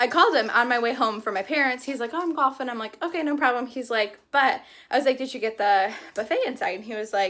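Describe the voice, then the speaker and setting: Talking at a very fast pace, a woman with a high pitch sounds animated, her tone bright and sharp and her intonation lively. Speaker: lifestyle vlogger. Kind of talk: casual vlog talk.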